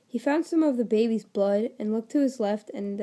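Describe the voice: Someone reads the text aloud plainly.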